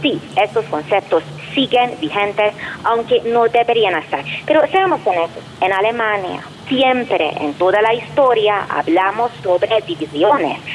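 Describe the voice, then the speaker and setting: Through noticeable background noise, a woman with a Hungarian accent speaks fairly slowly in a fairly high voice, her intonation lively and her loudness very even. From Hungary. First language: Hungarian (speaking Spanish). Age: 40s. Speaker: professor and researcher. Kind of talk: interview.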